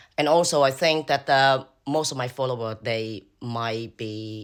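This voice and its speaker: At a fairly slow pace, a man with a Cambodian accent and ordinary pitch variation speaks on a very clean recording with a silent background. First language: Khmer. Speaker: social media creator. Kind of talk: casual vlog talk. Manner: halting, many fillers.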